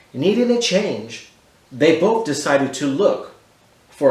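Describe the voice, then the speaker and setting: Speaking fairly slowly with an American accent, a man swings his pitch very widely over noticeable background noise. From Texas, Houston. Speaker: artist. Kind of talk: reading aloud. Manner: animated.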